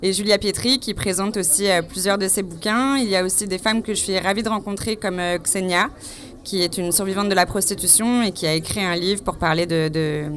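A woman's medium-pitched voice comes through with noticeable noise in the background. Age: 30s. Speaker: photographer and activist. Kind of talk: interview at a book fair. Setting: crowded bookshop event.

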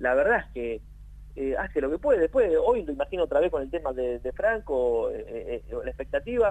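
A man speaks at a moderate pace with a Rioplatense accent. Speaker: sports journalist. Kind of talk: casual chat.

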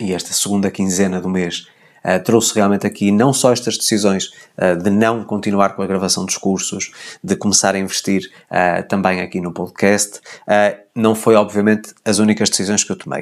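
The speaker has a European Portuguese accent. The pace is moderate and the intonation monotone and flat. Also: man, fairly low pitch for a man. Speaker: podcast host, personal development coach. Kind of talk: solo monologue, personal update.

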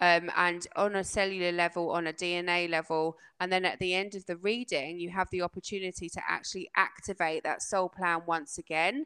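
On a very clean recording with a silent background, a woman speaks at a medium pitch and moderate pace in a bright, sharp tone, the sound dry and close with no echo. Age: 40s. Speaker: trauma coach and energy healer. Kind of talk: interview.

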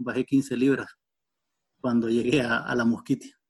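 A man is speaking. His intonation stays monotone and flat. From western Honduras. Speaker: biologist. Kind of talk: interview. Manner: halting, with fillers.

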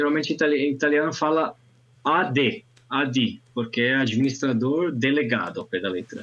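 With an ordinary speaking voice, a man talks at a fairly high pitch and a fairly slow pace, his intonation lively. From northern Italy, Alps. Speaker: language teacher and conference interpreter. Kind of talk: casual chat.

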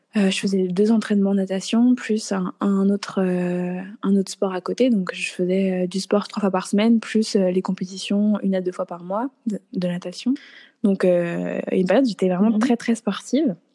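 A woman speaks at a fairly slow pace in a medium pitch, her intonation fairly even and her tone dark and mellow. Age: 20s. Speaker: dietitian. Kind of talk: casual interview.

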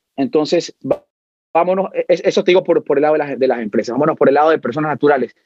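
A man talks very fast, his pitch fairly high and its variation ordinary. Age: 30s. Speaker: brokerage firm president. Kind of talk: interview.

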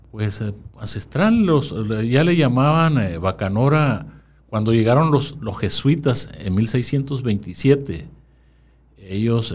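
The voice belongs to a man. Very wide pitch swings run through it. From Sonora, Mexico. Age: 60s. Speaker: town chronicler. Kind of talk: interview.

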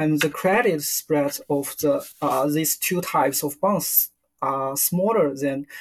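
With a Chinese accent, a man speaks at a very slow pace. His pitch varies in an ordinary way. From China, Beijing. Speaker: fixed income portfolio manager. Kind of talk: interview. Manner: halting.

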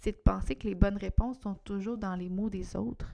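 A woman speaks in a Quebec accent with a dark, mellow tone and ordinary pitch variation on a very clean recording with a silent background. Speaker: podcast host, entrepreneur. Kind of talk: solo podcast monologue. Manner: casual, hesitant with fillers.

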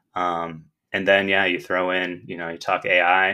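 In a very clean recording with a silent background, a man with an American accent speaks at a very deep, low pitch. His tone is bright and sharp, his intonation monotone and flat. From Michigan. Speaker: school district technology director. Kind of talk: interview.

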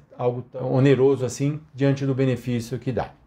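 A man's fairly high-pitched, somewhat breathy voice with a dark, mellow tone at a fairly slow pace. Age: 60s. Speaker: financial consultant. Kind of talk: solo commentary podcast.

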